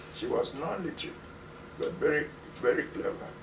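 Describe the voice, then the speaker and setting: The speaker has a Ghanaian accent and keeps a moderate pace. Noticeable background noise is present. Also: man. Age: 90s. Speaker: retired musicologist professor. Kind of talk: interview answer.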